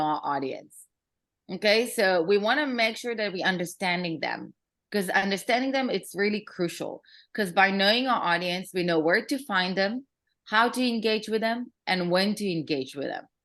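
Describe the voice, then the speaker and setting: Against a quiet background, a woman with a non-native accent speaks at a moderate pace and medium pitch with lively intonation. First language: not English. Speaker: marketing consultant and workshop speaker. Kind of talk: workshop presentation. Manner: casual, many fillers.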